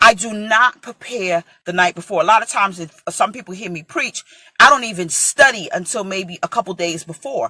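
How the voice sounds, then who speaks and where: A woman with an American accent speaks in an ordinary speaking voice at a moderate pace and medium pitch, with ordinary pitch variation and a dry, close sound with no echo. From New York (Brooklyn). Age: 40s. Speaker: preacher. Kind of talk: sermon.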